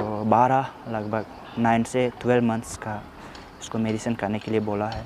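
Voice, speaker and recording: A man with an Arunachal Pradesh accent speaks in a monotone, flat intonation over noticeable background noise. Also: medium pitch for a man. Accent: Nyishi-accented Hindi, drawn-out speech. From Arunachal Pradesh, India. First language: Nyishi (speaking Hindi). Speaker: vlogger. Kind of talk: vlog, walking tour. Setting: outdoors, hospital grounds. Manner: halting, with fillers.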